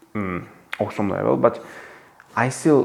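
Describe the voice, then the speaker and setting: A man's fairly low-pitched voice. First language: not English. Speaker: book reviewer. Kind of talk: book commentary monologue. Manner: halting, many fillers and restarts; animated.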